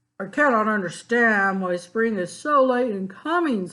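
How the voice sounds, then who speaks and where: A gruff, put-on character voice sits at a fairly high pitch. It moves at a moderate pace. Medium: read story. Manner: grumbling.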